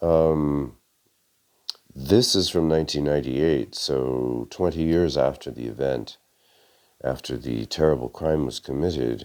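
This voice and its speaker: A man's very deep, low voice with ordinary pitch variation, at a fairly slow pace. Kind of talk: article reading with commentary. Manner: hesitant, many fillers.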